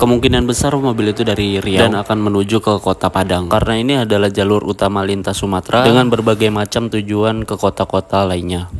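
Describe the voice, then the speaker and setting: At a very fast pace and with hardly any pauses, a man speaks at a fairly low pitch with ordinary pitch variation over noticeable background noise. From Indonesia, not from the Lake Toba area. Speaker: travel vlogger. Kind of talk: driving vlog commentary. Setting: in a car. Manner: casual, chatty.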